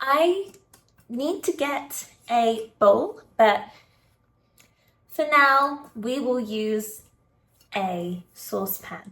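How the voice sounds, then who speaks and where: A woman talks at a very slow pace in a British accent. Her intonation is lively. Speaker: English teacher. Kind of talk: casual talk to camera. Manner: slow, clear.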